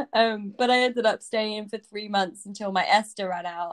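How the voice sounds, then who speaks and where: A woman with a British accent in a dry, close sound with no echo. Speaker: coding bootcamp student. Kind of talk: casual chat. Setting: video call.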